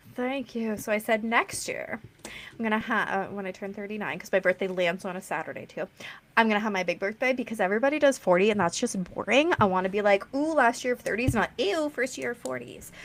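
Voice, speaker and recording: Very fast and lively in intonation, a woman with a Canadian accent speaks at a fairly high pitch. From Canada. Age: 30s. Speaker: podcast host. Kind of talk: interview.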